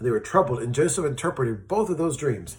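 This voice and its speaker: A man speaks at a medium pitch in an animated, somewhat breathy tone. His pitch swings very widely. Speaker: children's Bible storyteller. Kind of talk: children's Bible story. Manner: fast.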